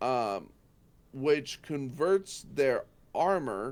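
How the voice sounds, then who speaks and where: Heard in a very clean recording with a silent background, a man speaks with lively intonation. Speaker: tabletop RPG tutorial host. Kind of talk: tutorial. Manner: halting, many fillers.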